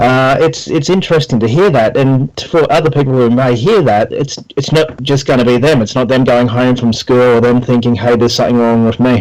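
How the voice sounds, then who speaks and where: Over noticeable background noise, a man with an Australian accent talks at a fairly quick pace with hardly any pauses, holding a medium pitch with ordinary pitch variation and very even loudness. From Brisbane, Australia. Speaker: personal trainer and podcast host. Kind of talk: casual interview.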